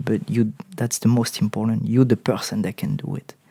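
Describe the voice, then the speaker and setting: With a French accent, a man talks using ordinary pitch variation. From southern France. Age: 30s. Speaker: actor. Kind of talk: interview. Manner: halting, many repetitions.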